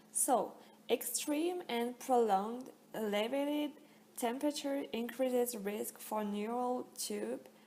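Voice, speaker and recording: A woman speaks at a very slow pace in a French accent. Her pitch varies in an ordinary way. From France. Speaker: student. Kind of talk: class presentation.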